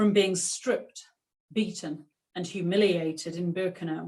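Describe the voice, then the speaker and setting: In a Yorkshire accent, a woman speaks at a fairly slow pace, medium pitch and ordinary pitch variation. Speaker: author and clothes historian. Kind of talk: author talk; reading aloud from her book.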